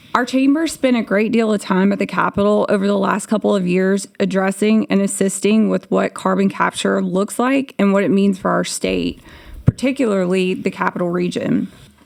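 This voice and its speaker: A woman talks at a moderate pace with a medium pitch, ordinary pitch variation and very even loudness, over noticeable background noise. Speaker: business association leader testifying at a hearing. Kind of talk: public testimony. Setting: legislative committee hearing. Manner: formal.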